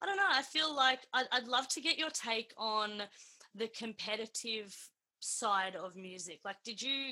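A woman's fairly high, bright and sharp voice with an Australian accent, ordinary pitch variation and a fairly slow pace. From Melbourne, Australia (northern suburbs). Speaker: podcast host, singer. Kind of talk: casual interview.

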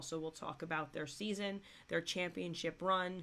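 A woman speaks at a moderate pace in a fairly low, raspy voice with vocal fry, a fairly bright tone and ordinary pitch variation.

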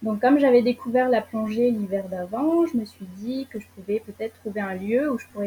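A dark, mellow, somewhat breathy voice at a moderate pace, with ordinary pitch variation. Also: woman. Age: 20s. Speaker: traveller sharing experience. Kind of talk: casual interview. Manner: hesitant, many fillers.

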